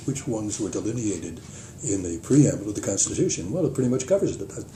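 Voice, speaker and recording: A man talks at a very fast pace with lively intonation. Noticeable background noise and audible room echo surround him. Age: 80s+. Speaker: retired journalist. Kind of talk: casual chat. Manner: halting.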